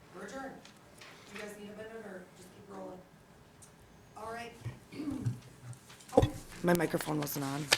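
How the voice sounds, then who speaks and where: Someone with an American accent talks at a moderate pace, leaving long, frequent pauses over noticeable background noise. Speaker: council meeting chair. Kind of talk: formal meeting procedure. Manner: loud.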